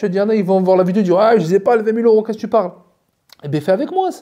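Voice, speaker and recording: The man's voice sits high in pitch. It carries a dark, mellow tone. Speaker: YouTuber and entrepreneur. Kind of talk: casual vlog monologue. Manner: fast; hesitant, many repetitions.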